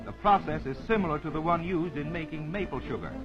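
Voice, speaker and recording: This man has a high pitch and lively intonation. He keeps a moderate pace while music plays in the background. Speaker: travelogue reporter. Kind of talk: vintage travelogue narration.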